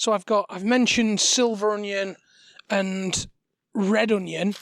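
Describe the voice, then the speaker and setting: In a very clean recording with a silent background, a man speaks very slowly at a high pitch with fairly even intonation. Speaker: cooking demo host. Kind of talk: cooking tutorial. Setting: outdoor demo kitchen in front garden. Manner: halting, many fillers; quiet.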